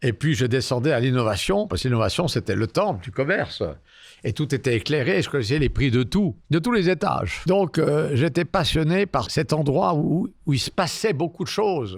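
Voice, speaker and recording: A man's fairly high voice with vocal fry and very wide pitch swings, at a moderate pace on a very clean recording with a silent background. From Lausanne, Switzerland. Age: 70s. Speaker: real estate developer. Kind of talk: interview answer.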